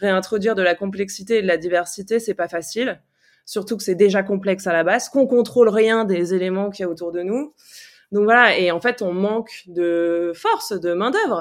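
Over a quiet background, a woman with medium pitch and ordinary pitch variation talks at a moderate pace. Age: 40s. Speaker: farmer in training, former city dweller. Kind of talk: interview conversation. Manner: frank and direct.

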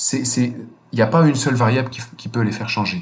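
A somewhat breathy male voice at a moderate pace. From France, Normandy. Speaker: NGO chief executive. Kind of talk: interview. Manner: hesitant, many fillers and repetitions.

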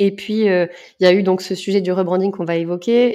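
Fairly even intonation and a moderate pace carry a dark, mellow tone. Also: woman. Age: 30s. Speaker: marketing director. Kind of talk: interview.

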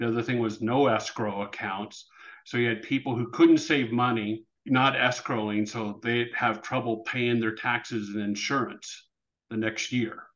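In a quiet background, a man with a plain, everyday voice talks at a medium pitch and a moderate pace with fairly even intonation. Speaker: real estate and mortgage advisor. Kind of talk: interview.

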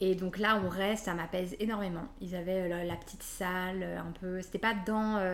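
A woman's medium-pitched voice at a moderate pace, with fairly even intonation, hardly any pauses and noticeable background noise. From western France (Nantes). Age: 30s. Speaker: mother sharing birth story. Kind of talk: testimony. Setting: at her home. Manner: hesitant, many fillers.

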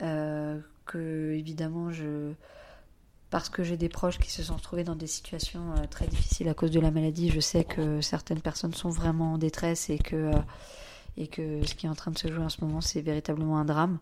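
Dark and mellow in tone, a woman with a very deep, low pitch speaks at a moderate pace in a monotone, flat intonation. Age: 40s. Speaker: single mother and children's face painter. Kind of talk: personal testimony. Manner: hesitant, many fillers.

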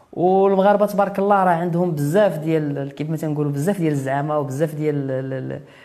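Audible room echo surrounds a very fast delivery with hardly any pauses and ordinary pitch variation. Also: man, fairly high pitch for a man. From Morocco, Kenitra. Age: 30s. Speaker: adventurer, former physiotherapist. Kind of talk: interview.

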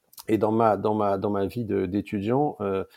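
A man's dark, mellow tone comes through with a dry, close sound and no echo in a very clean recording with a silent background. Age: 40s. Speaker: entrepreneur and former ministerial chief of staff. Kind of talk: interview. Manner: halting, many repetitions and hesitations.

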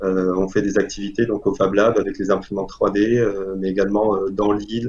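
In a normal speaking voice, a man talks at a fairly low pitch and moderate pace with fairly even intonation. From Algeria. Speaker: engineering student. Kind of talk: interview.

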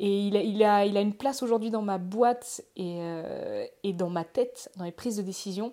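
A dark, mellow tone with fairly even intonation, at a moderate pace. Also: woman. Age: 20s. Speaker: LinkedIn trainer. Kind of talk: casual chat.

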